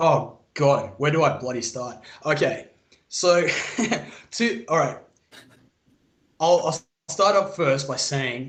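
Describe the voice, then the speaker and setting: The pace is fairly slow and the voice somewhat breathy. Audible room echo surrounds the speech. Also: man. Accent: Australian. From Australia. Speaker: military veteran, call-in guest. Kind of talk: casual chat.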